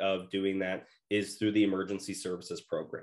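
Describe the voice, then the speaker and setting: Against a quiet background, a man with a fairly low pitch speaks at a moderate pace in an unremarkable speaking voice. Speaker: policy director. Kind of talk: presentation.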